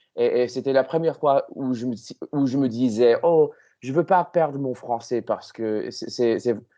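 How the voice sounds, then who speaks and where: Spoken at a fairly slow pace against a quiet background, the voice has a dark, mellow tone, ordinary pitch variation, and an English accent. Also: man, medium pitch for a man. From Canada. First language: English (speaking French). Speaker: language learner. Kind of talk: casual chat. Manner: halting.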